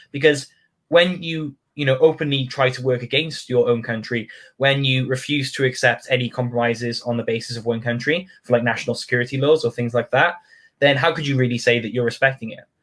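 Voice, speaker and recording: A man talks at a fairly quick pace with a British accent. His pitch is medium and his intonation fairly even. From United Kingdom. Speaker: community group founder. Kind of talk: casual interview chat.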